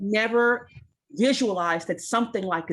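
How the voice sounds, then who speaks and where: A woman talks in a New York accent. Her pitch is fairly high. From US Northeast, Brooklyn, New York. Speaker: community advocate. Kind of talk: roundtable discussion. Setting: video call. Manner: fast.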